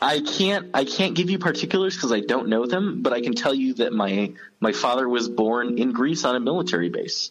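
Speaking in a normal speaking voice, a man keeps a fairly quick pace with hardly any pauses, lively intonation and very even loudness. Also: medium pitch for a man. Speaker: guest. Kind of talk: casual chat. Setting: phone call.

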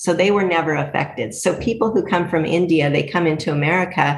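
Talking at a fairly quick pace, a woman sounds somewhat breathy, with ordinary pitch variation. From US West Coast. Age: 50s. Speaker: dairy farmer. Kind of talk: casual interview.

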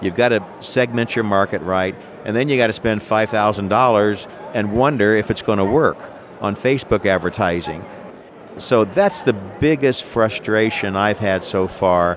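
Noticeable background noise sits behind a man with an American accent. His pitch is fairly low, with ordinary pitch variation. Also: moderate pace. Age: 60s. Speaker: entrepreneur and inventor. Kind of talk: interview, product pitch. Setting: trade show floor. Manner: enthusiastic, animated.

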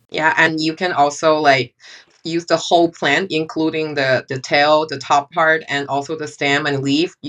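In a Chinese accent, a woman with a very deep, low pitch speaks at a moderate pace with monotone, flat intonation. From China. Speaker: photographer. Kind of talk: casual chat.

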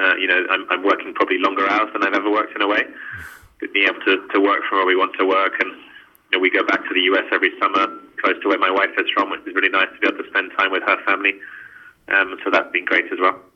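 Noticeable background noise runs under speech delivered at a very fast clip. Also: man. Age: 30s. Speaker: impact investor. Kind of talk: interview. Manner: hesitant, many fillers.

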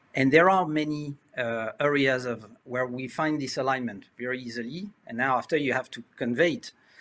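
A man with a French accent speaks with big swings in loudness. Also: medium pitch for a man, ordinary pitch variation, moderate pace. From France. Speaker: insurance innovation executive. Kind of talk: webinar panel discussion. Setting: video call.

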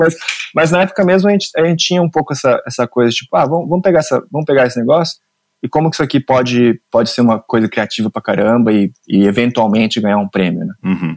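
Very fast speech from a man, his pitch swinging very widely, in a dry, close sound with no echo. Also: medium pitch for a man. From Brazil, Mogi das Cruzes (São Paulo state). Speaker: screenwriter and film director. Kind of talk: interview. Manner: halting, frequent repetitions.

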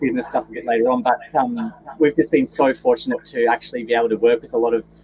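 With a Queensland accent, a man talks very fast at a medium pitch with ordinary pitch variation over noticeable background noise. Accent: Australian, Queensland. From Gold Coast, Queensland. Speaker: guest, business owner. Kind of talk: casual interview. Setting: video call, travelling in Mount Isa.

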